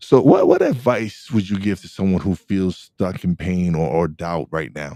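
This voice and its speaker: A man with an American accent speaks in a very deep, low voice. His tone is dark and mellow, his intonation lively. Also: moderate pace. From Brooklyn, New York. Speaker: podcast host. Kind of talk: casual interview chat. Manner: halting, repeats words.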